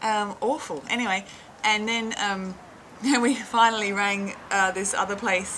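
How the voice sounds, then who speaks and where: In an Australian accent, a woman speaks at a fairly slow pace with a medium pitch, a bright, sharp tone and fairly even intonation. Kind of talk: casual anecdote. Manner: chatty, natural.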